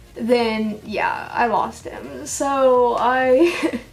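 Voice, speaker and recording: Both noticeable background noise and audible room echo are present in this clip. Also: woman. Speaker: reptile pet keeper vlogger. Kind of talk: casual vlog monologue. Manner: rambling with many fillers.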